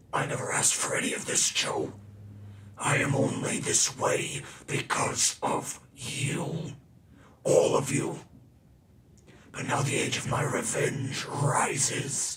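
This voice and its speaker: A man puts on a raspy character voice at a fairly high pitch. He goes at a fairly slow pace, with long, frequent pauses. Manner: angry, vengeful.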